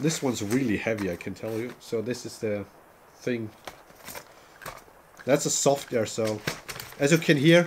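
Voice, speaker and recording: Long pauses come often in the speech. Noticeable background noise runs underneath. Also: man, medium pitch for a man, ordinary pitch variation, moderate pace. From Germany. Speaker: gaming streamer. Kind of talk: casual chat. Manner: halting.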